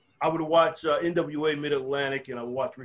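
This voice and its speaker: Here a man speaks in a plain, everyday voice at a fairly high pitch. His pace is moderate and his intonation fairly even. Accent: American. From New Jersey and North Carolina, US. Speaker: former pro wrestler and trainer. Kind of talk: casual interview chat. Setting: video call.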